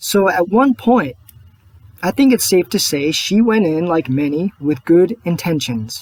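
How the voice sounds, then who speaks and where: The recording has a dry, close sound with no echo. A man speaks fairly slowly in a high pitch with lively intonation. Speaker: political video blogger. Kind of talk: personal video monologue. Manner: soft-spoken.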